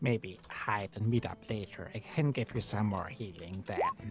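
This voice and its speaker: Clear music plays in the background as a man in a put-on character voice speaks at a moderate pace with fairly low pitch. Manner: warm, conspiratorial, soothing.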